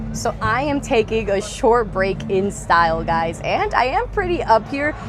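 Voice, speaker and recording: A woman with an American accent at a fairly slow pace, with audible room echo and music in the background. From US Northeast, New York. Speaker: off-road vlogger. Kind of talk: casual vlog walkthrough. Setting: outdoors at an off-road expo. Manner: animated.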